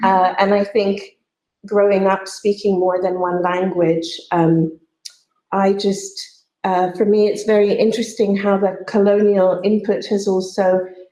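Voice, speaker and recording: Against audible room echo, a woman with a medium pitch and a dark, mellow tone speaks at a fairly slow pace in monotone, flat intonation, her loudness very even and her pauses long and frequent. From Pakistan (Karachi) until age 10, then Canada. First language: Urdu. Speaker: poet. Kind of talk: panel discussion. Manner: halting, many fillers.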